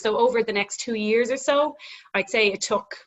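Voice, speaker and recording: A woman's fairly high voice in a Dublin accent at a fairly quick pace. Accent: Irish, Dublin. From Ireland, Dublin. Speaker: gym owner. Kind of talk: casual interview chat.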